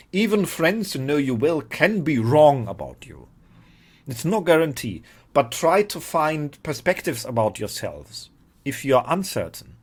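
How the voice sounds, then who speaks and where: On a very clean recording with a silent background, a man with a non-native accent speaks in a fairly high, somewhat breathy voice, with lively intonation and big swings in loudness. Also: moderate pace. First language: not English. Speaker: spiritual teacher. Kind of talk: informal talk to camera. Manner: halting, repeats words.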